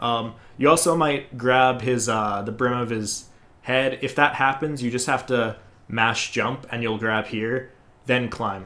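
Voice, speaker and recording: Loud and bright with a sharp tone, a man talks at medium pitch. He keeps a fairly slow pace and fairly even intonation. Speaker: gaming speedrunner. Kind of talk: tutorial.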